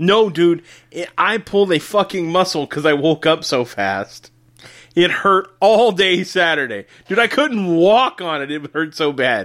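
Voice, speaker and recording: On a very clean recording with a silent background, a man talks at a high pitch. His intonation is lively and his pace fairly slow. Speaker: podcast host. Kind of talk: casual chat; quiz hosting. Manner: animated.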